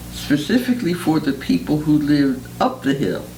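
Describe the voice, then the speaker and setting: Over music in the background and with audible room echo, a woman speaks in a very deep, low voice with very wide pitch swings. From Philadelphia, North Philadelphia. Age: 70s. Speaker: retired teacher. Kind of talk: oral history interview.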